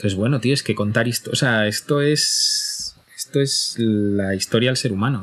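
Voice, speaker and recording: Talking at a moderate pace with hardly any pauses, a man keeps his loudness very even over noticeable background noise. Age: 40s. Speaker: podcaster and podcast platform executive. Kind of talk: casual chat.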